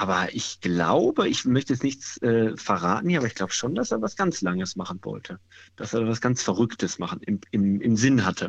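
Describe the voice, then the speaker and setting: Set against a quiet background, a plain, everyday voice moves at a moderate pace with lively intonation. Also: man, medium pitch for a man. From Ruhr area, Dortmund. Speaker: caller, amateur runner. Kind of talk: casual chat. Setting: phone call.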